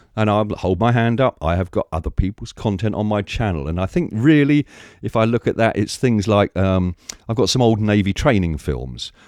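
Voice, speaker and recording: With an English accent, a man of fairly low pitch talks at a moderate pace and lively intonation. The sound is dry and close with no echo, over a quiet background. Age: 60s. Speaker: YouTuber, film archivist. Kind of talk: rant to camera. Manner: animated.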